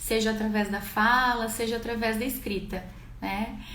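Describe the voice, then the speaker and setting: Audible room echo surrounds a woman speaking in a flat, monotone intonation at a fairly high pitch. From Brazil, Rio Grande do Sul (Garibaldi, interior). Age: 20s. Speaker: livestreamer telling her life story. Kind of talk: personal storytelling livestream. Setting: live stream. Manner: conversational, with hesitations.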